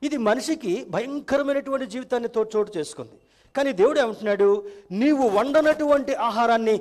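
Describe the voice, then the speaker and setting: Lively intonation over a quiet background. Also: man. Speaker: pastor, church preacher. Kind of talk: church sermon in Telugu, with English terms mixed in. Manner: conversational, humorous preaching. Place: church. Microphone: headset.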